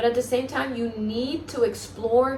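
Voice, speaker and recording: A voice with a Spanish accent is heard over noticeable background noise and audible room echo. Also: woman. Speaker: self-help vlogger. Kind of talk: motivational monologue. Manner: halting, stumbles over words.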